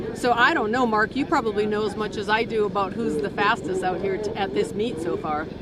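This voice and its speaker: With hardly any pauses, a woman talks fairly quickly in a lively intonation, her voice carrying audible room echo over noticeable background noise. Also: medium pitch for a woman. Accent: American. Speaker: race starter. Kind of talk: casual interview.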